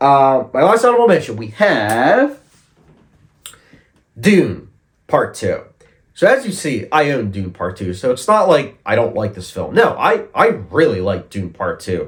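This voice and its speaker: Vocal fry runs through this man's fairly high voice. He talks at a fairly slow pace. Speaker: film reviewer. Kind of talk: casual talk to camera.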